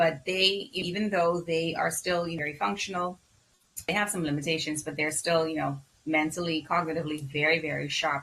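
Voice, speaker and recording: With a Bahamian accent, a woman talks at a moderate pace in a very deep, low pitch with fairly even intonation, over noticeable background noise. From Bahamas. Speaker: physician. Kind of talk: interview.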